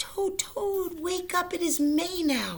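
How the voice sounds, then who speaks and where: Using a squeaky, put-on character voice at an extremely high pitch, a woman speaks at a very slow pace. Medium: read story.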